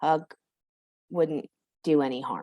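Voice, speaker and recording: In a dry, close recording with no echo and a quiet background, a woman speaks with an American accent. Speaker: workshop trainer. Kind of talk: online training session. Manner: fast.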